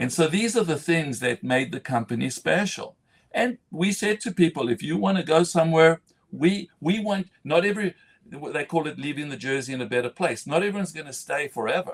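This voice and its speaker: Here a man speaks at a fairly high pitch and a fairly quick pace. His intonation is lively, and the sound is dry and close with no echo. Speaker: entrepreneur and business leader. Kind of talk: live interview conversation. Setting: LinkedIn live stream. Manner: fast.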